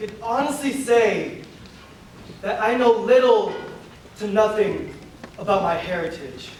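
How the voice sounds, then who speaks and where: Speaking in an American accent with lively intonation, the voice moves at a fairly slow pace with long, frequent pauses over noticeable background noise. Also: man, extremely high pitch for a man. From Filipino American. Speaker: spoken word poet. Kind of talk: spoken word poetry performance. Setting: live stage performance.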